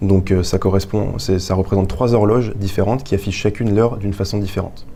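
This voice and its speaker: This man has a fairly low voice and fairly even intonation. He talks at a fairly quick pace. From France, Touraine (Indre-et-Loire). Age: 20s. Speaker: engineering student and young inventor. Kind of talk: interview, explaining an invention. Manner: hesitant, many fillers.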